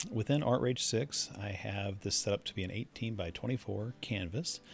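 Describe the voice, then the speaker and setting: Over background music, a man talks at a fairly slow pace in a relaxed tone. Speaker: digital artist. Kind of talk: painting tutorial narration. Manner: casual, relaxed.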